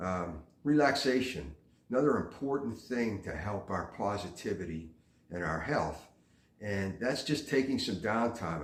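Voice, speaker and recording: A man talks at a fairly slow pace in a fairly low voice that is somewhat breathy. His intonation is lively, and room echo can be heard. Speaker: vlogger giving life advice. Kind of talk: casual monologue. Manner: frequent fillers (uh, um).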